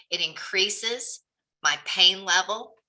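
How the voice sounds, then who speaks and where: This woman has a Southern US accent. Her voice sounds bright and sharp. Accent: Southern twang. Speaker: real estate coach. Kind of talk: group coaching session.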